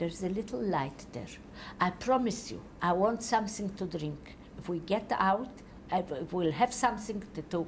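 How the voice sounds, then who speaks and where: A somewhat breathy woman in a Polish accent talks at a moderate pace with lively intonation and long, frequent pauses, over light background noise. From Poland. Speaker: Holocaust survivor giving testimony. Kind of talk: testimony. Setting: interview in Tel Aviv. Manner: halting. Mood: calm, reflective recollection. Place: home room. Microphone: lapel.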